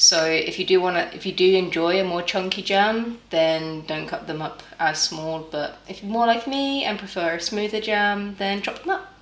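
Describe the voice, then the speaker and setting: Moderate-paced speech from a woman with ordinary pitch variation, hardly any pauses and audible room echo. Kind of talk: casual cooking tutorial chat. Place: kitchen. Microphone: camera far.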